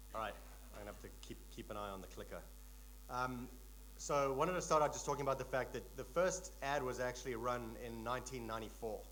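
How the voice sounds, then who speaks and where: A man talks very fast with big swings in loudness, and the room echo is audible. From South Africa. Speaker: tech company executive, conference speaker. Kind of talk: conference keynote talk. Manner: relaxed, frequent fillers.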